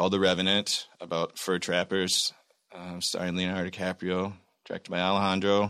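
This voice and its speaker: A man with an American accent, very deep and low in pitch, with a bright, sharp tone, on a very clean recording with a silent background. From Michigan, US. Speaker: actor. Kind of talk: casual interview chat.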